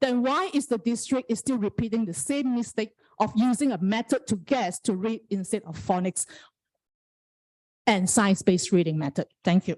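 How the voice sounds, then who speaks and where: With a non-native accent, a woman speaks at a moderate pace in a somewhat breathy, fairly high voice with lively intonation, the sound dry and close with no echo. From Malaysia. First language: not English. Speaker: parent giving public comment. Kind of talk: public comment at school board meeting.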